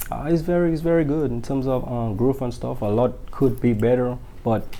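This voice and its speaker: A man's dark, mellow voice with a strong Dominican accent and audible room echo. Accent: strong Dominican Caribbean. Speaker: singer-songwriter. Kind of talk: interview. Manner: hesitant, many fillers.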